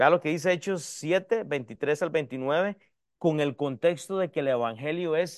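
With a quiet background, a man speaks very slowly in a high voice with ordinary pitch variation. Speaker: pastor. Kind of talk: sermon. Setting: church. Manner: teaching, repeatedly addressing the audience as 'hermanos' and urging 'escúcheme'.

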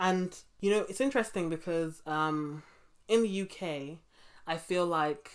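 Long, frequent pauses break up this fairly slow delivery in a London accent. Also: woman, fairly low pitch for a woman, ordinary pitch variation. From England, London (Brixton). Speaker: podcast host. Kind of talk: interview. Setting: remote call.

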